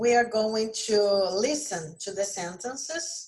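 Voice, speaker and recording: A woman with a fairly high pitch, lively intonation and a somewhat breathy sound. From Brazil. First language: Portuguese. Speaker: English teacher. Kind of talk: lesson. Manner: casual, with many fillers.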